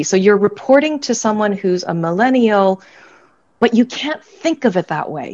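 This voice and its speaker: Speaking at a moderate pace with an American accent, a woman has an ordinary speaking voice at medium pitch. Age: 50s. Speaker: business school academic and author. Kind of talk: online panel discussion. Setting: video call.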